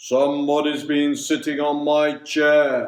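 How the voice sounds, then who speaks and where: A man puts on a character voice at a fairly high pitch. He speaks at a fairly slow pace. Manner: indignant.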